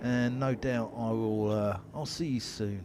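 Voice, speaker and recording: Here a man speaks with a North London accent. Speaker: cricket commentator. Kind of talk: live commentary.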